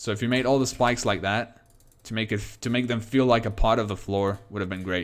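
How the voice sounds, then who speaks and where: In a very clean recording with a silent background, a man with a non-native accent talks at a fairly quick pace and medium pitch, his intonation fairly even. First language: not English. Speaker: game streamer. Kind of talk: live stream commentary. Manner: halting.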